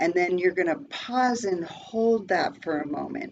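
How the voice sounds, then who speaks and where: Using a plain, everyday voice, a woman talks fairly slowly at a middle pitch, her pitch moving in an ordinary way. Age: 60s. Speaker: presenter and massage technician. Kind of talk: presentation with guided breathing exercise. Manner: calm, instructive.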